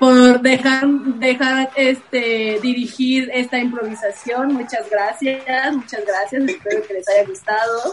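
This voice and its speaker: Through noticeable background noise, a woman with a high pitch and ordinary pitch variation speaks at a very slow pace with hardly any pauses. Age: 30s. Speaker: actress. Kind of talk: improv comedy; casual chat.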